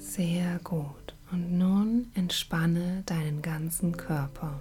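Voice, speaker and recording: With music in the background, a woman speaks at a fairly low pitch with ordinary pitch variation. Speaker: meditation guide. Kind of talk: guided meditation. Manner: slow, calm, soothing, with long pauses; gentle, measured, counting breaths in even rhythm.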